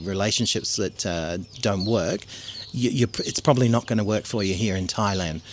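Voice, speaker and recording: A man's voice, with normal rises and falls in pitch, comes through against clearly audible background noise. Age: 60s. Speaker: expat retiree. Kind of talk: interview. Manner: halting.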